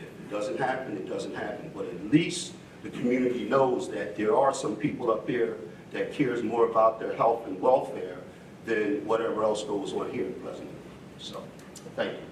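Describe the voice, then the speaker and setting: Over noticeable background noise and audible room echo, a man with an American accent speaks at a moderate pace with big swings in loudness. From New Jersey, Atlantic County. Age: 60s. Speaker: city council member. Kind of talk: heated debate.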